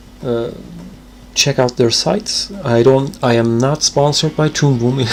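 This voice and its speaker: A man's medium-pitched voice with a non-native accent, fairly slow pace, and ordinary pitch variation. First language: not English. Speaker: animator streamer. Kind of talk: casual live stream chat while drawing.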